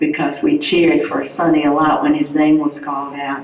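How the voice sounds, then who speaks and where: A woman speaks with a North Carolina accent. The audio carries audible room echo and noticeable background noise. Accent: Southern US, North Carolina. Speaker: widow of hall of fame inductee. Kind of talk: tribute speech.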